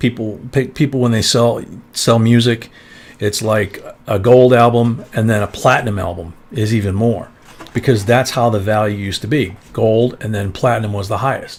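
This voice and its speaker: At a moderate pace, a man speaks in an ordinary speaking voice of medium pitch with fairly even intonation. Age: 60s. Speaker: coin collecting live streamer. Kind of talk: live stream chat. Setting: live stream with co-host. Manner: casual, conversational.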